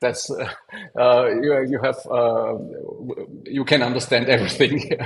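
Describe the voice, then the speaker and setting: Noticeable background noise is present as a man talks at a fairly slow pace. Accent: non-native. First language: not English. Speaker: software testing expert and speaker. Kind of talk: conference Q&A. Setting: online conference. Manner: halting.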